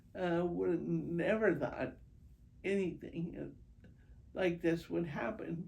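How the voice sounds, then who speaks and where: With audible room echo, a woman speaks at a very slow pace, pausing long and often. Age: 70s. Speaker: patient with multiple sclerosis. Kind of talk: interview testimony. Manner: hesitant, many fillers.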